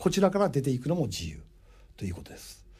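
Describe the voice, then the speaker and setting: A man speaks at a fairly quick pace in a dark, mellow tone with vocal fry. The recording is very clean, with a silent background. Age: 60s. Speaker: radio host and import business consultant. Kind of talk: radio monologue. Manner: animated.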